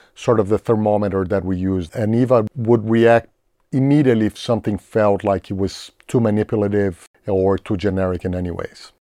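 A man with a Portuguese accent speaks at a moderate pace, with a fairly low pitch and a dark, mellow tone. The sound is dry and close with no echo, against a quiet background. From Brazil, São Paulo. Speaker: film composer. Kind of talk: interview.

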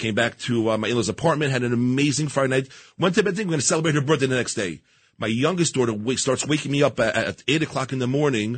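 A somewhat breathy man races along at a very fast pace in a New York accent, with ordinary pitch variation. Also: medium pitch for a man. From Queens, New York. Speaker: business executive and volunteer. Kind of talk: radio interview. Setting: radio studio.

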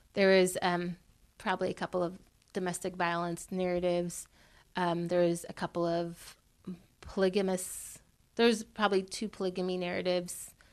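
The speech has an American accent and a moderate pace. Intonation is monotone and flat, with long, frequent pauses. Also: woman, medium pitch for a woman, quiet background. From California, US. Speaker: podcast co-host, storyteller and activist. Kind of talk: interview. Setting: in person in Los Angeles.

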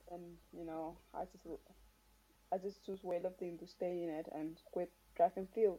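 Woman with a fairly low, dark, mellow voice, monotone and flat, at a moderate pace with big swings in loudness and long, frequent pauses. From Marshall Islands. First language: Marshallese. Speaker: weightlifter, Olympian. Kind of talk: casual interview. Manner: halting.

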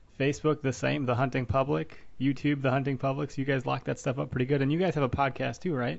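A man speaks in a plain, everyday voice with an American accent. His pitch is medium and his intonation fairly even. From Wisconsin. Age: 30s. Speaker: podcast host. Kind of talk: casual interview.

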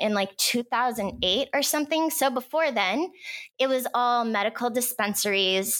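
A woman speaks with a fairly high pitch. The recording is very clean, with a silent background. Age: 30s. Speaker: cannabis business advisor. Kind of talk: casual interview.

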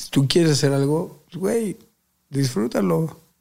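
His voice has a somewhat breathy quality. The man talks at a moderate pace, his pitch varying in an ordinary way. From Mexico City (Azcapotzalco). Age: 20s. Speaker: professional boxer. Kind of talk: casual interview chat.

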